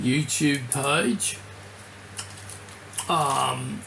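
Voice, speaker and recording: Noticeable background noise sits behind this recording. A man speaks with ordinary pitch variation. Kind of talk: casual talk to camera. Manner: slight slurring.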